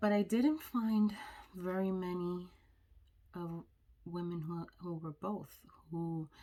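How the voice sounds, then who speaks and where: A woman with an American accent speaks at a fairly slow pace in a dark, mellow tone with fairly even intonation. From New York, the Bronx. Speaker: vlogger. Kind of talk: personal vlog.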